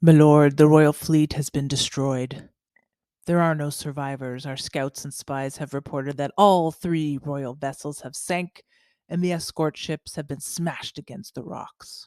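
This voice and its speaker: A gruff, put-on character voice at a low-to-middle pitch moves at a moderate pace on a very clean recording with a silent background. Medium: read story. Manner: gruff, grunting.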